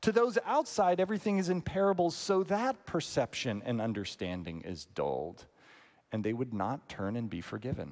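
At a moderate pace, a man with an American accent talks in a high voice with very wide pitch swings. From northern US. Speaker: pastor. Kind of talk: sermon.

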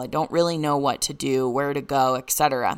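Captured in a very clean recording with a silent background, a woman speaks in a very deep, low pitch with fairly even intonation. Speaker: podcast host and intuitive coach. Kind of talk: solo podcast monologue.

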